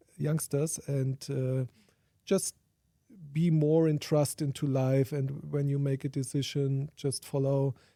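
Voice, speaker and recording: A dark, mellow tone in a German accent at a very slow pace, dry and close with no echo, over a very clean, silent background. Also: man, fairly high pitch for a man. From Germany. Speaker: sustainability researcher and conference organiser. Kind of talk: interview. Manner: halting.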